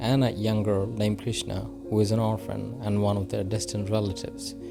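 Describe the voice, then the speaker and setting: Music plays in the background as a man speaks with a non-native accent. His pitch is fairly low and his pace moderate. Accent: non-native English, apologises for. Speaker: movie recap narrator. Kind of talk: movie recap narration.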